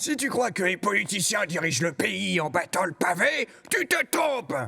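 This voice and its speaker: A put-on character voice, raised and projected, comes at a moderate pace. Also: man, high pitch for a man. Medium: dub. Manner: brusque, headstrong.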